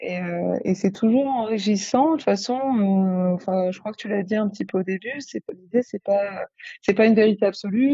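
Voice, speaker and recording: A woman's intonation remains fairly even. She talks at a moderate speed. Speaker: psychiatrist studying sexology. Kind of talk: casual interview. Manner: hesitant, thinking aloud.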